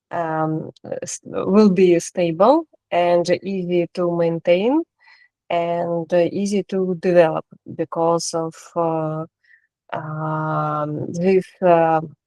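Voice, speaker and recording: A woman with a non-native accent speaks at a very slow pace and a fairly low pitch. Her tone is dark and mellow, her intonation monotone and flat, and the sound dry and close with no echo. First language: not English. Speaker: course participant. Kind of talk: answering a question in class. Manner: halting, many fillers.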